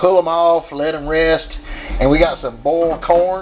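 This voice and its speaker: A man at a fairly high pitch amid noticeable background noise. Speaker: grilling video host. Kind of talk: casual cooking demonstration. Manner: casual, folksy.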